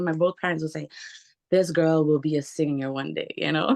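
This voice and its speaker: A woman talks with ordinary pitch variation. Her sound is dry and close, with no echo. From Montreal, Quebec, Canada. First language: Portuguese and French. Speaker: singer. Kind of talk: interview.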